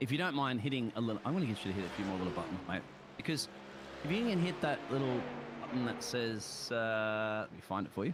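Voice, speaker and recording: A man with an Australian accent at medium pitch, very fast pace, very wide pitch swings and very even loudness, over noticeable background noise. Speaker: sim racing commentator. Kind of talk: live commentary.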